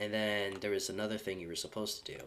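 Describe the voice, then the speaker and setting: Fairly low male voice over noticeable background noise. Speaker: gaming streamer. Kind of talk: casual livestream chat. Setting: live stream. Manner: slurred speech; halting.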